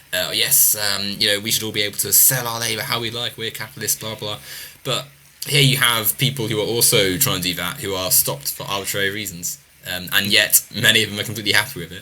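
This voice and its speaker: A man at a very fast pace with ordinary pitch variation, over noticeable background noise. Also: fairly low pitch for a man. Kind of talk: casual panel discussion.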